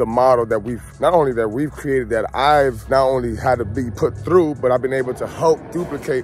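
A man at a fairly quick pace with ordinary pitch variation, dry sound with no echo, and faint music in the background. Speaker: barber vlogger. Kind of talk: casual vlog chat. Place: street. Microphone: phone near.

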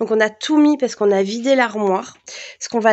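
A woman's fairly high voice, with ordinary pitch variation, is heard over a quiet background. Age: 30s. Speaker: home vlogger. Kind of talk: casual vlog chat. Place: home room. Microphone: phone near.

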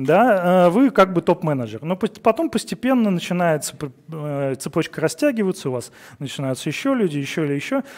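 A man's high-pitched voice with very wide pitch swings, set in a quiet background. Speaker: conference speaker, engineering director; conference speaker. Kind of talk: conference talk. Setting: stage with audience. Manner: fast. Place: studio.

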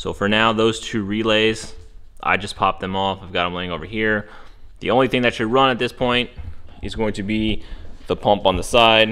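Over music in the background, a man speaks at a moderate pace in a fairly low pitch. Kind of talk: tutorial. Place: garage. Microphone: phone near.

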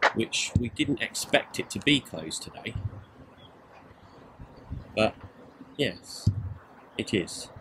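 The man talks at a very slow pace, his intonation lively. Background noise is noticeable. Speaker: travel vlogger. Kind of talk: casual vlog commentary. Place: open country. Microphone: phone near.

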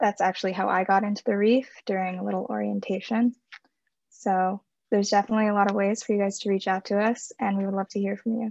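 A woman with a medium pitch talks very fast in a monotone, flat way. The background is quiet and the sound is dry with no echo. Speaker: student program coordinator. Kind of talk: Q&A moderation. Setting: video call. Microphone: video call.

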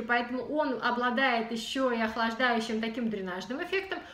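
Amid audible room echo, a woman talks in an animated tone at a high pitch. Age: 30s. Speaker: beauty blogger. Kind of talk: product review vlog. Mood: calm, friendly. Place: home room. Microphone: camera far.

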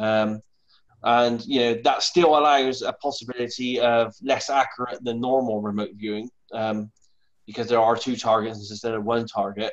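A man speaks with a British accent at a moderate pace. His pitch is medium and his intonation fairly even. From UK. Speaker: remote viewer. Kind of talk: casual video chat. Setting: video call. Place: home room. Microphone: lapel.

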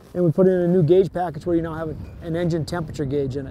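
Fairly high in pitch, a man talks at a fast pace with a dark, mellow tone. His pitch variation is ordinary.

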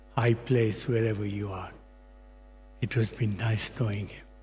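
A man's flat, monotone speech at a fairly slow pace, with music in the background. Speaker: longtime family friend. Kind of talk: eulogy with light anecdotes. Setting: church memorial service. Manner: warm, fond, laughing. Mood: warm, fond remembrance. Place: hall. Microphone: podium.

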